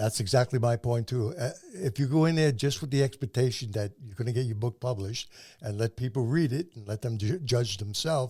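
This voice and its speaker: A man's somewhat breathy, dark, mellow voice at medium pitch and a fairly quick pace. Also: ordinary pitch variation. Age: 80s+. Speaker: podcast host and self-published author. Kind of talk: interview. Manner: stammering repetitions.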